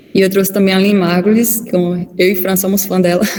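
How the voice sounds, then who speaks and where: A woman's medium-pitched, dark, mellow and somewhat breathy voice at a moderate pace, with audible room echo. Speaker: physician and lecturer. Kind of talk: online lecture.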